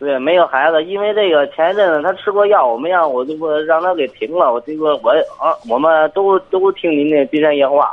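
This man talks at a fairly quick pace with hardly any pauses. His pitch is fairly high, with ordinary variation. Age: 20s. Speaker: forklift driver, caller. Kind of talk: phone call-in. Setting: phone call. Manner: halting.

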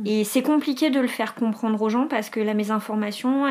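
A woman with a fairly high pitch talks fairly quickly and with fairly even intonation, noticeable background noise behind her. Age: 30s. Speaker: dental technology trainer sharing eczema experience. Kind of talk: testimony.

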